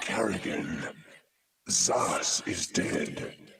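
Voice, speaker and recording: A raspy put-on character voice rings out with clear echo. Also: man, fairly low pitch for a man. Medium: video game. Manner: cold, authoritative.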